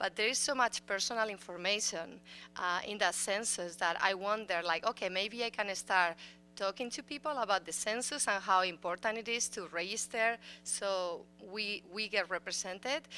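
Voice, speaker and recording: A woman's bright, sharp voice at medium pitch, with a Spanish accent, ordinary pitch variation and a moderate pace, on a very clean recording with a silent background. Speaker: school board member. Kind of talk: audience question at public forum. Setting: city council chambers forum.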